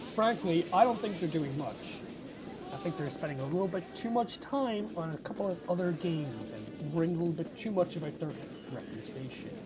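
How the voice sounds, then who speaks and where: Music plays in the background while the speaker talks at a fairly quick pace. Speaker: gaming commentary YouTuber. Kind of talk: casual talk to camera. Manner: frustrated, ranting.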